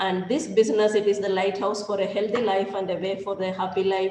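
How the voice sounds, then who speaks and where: A woman speaks at a medium pitch. The recording carries audible room echo and noticeable background noise. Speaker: professor. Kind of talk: technical presentation. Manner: fast; hesitant, many fillers.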